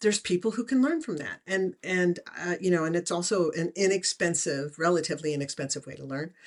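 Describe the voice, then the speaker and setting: An ordinary speaking voice from a woman, fairly low in pitch with ordinary pitch variation, a fairly quick pace and big swings in loudness. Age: 60s. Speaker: remote viewing teacher and author. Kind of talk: interview.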